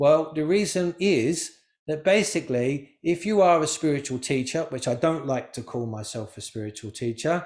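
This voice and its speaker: With an English accent and lively intonation, a man speaks at a moderate pace with a fairly high pitch, on a very clean recording with a silent background. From England. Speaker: spiritual teacher. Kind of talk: talk to a live group. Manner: animated.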